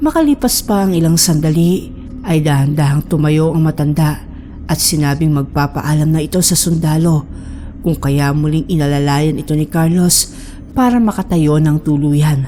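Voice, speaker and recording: Noticeable background noise sits behind a woman whose very deep, low pitch, fairly even intonation and very even loudness hold at a moderate pace. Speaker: horror story narrator. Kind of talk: horror story narration.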